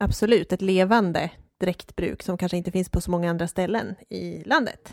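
A woman with a normal speaking voice, medium pitch, fairly even intonation and a moderate pace. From Dalarna, Sweden (Hedemora). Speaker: podcast co-host on folk costume. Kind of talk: casual chat.

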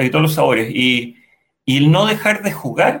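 A man speaks at a moderate pace with a bright, sharp tone and vocal fry. His pitch varies in an ordinary way. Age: 50s. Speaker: civil and industrial engineer, panelist. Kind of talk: casual chat. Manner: halting, many repetitions.

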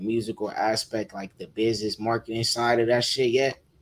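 A man with an American accent and medium pitch speaks with fairly even intonation on a very clean recording with a silent background. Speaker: music producer and rapper. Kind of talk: casual interview chat.

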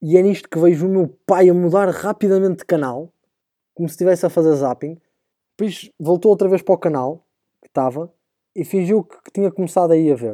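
In a European Portuguese accent, a man with a high pitch and a dark, mellow tone speaks at a fairly quick pace, recorded dry and close with no echo on a very clean, silent background. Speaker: podcast host, university student. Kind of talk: casual comedic monologue. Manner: animated.

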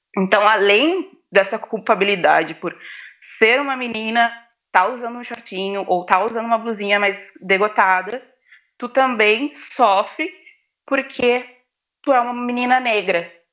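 A woman with a fairly high pitch speaks at a fairly slow pace, with ordinary pitch variation. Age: 20s. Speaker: student and activist. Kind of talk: casual interview chat.

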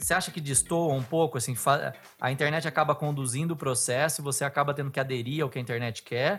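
Very fast speech from a man, fairly high in pitch with ordinary pitch variation, over music in the background. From Bauru, São Paulo state, Brazil. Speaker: podcast host, former TV journalist. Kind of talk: casual interview chat; scripted narration.

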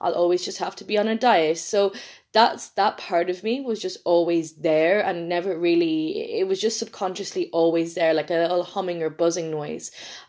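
In an Irish accent, a woman speaks at a moderate pace with a fairly low pitch, fairly even intonation and hardly any pauses against a quiet background. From Ireland. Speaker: podcast host, nutrition coach. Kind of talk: solo podcast monologue.

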